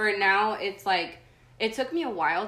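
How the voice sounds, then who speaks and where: Audible room echo surrounds a woman who speaks at a moderate pace. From San Diego, California, born in Tijuana, Mexico. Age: 20s. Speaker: artist. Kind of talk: casual interview chat.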